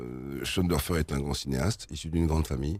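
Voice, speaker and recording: This man's voice is very deep and low, with ordinary pitch variation. He talks at a fairly quick pace. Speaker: singer and actor. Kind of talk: interview answer.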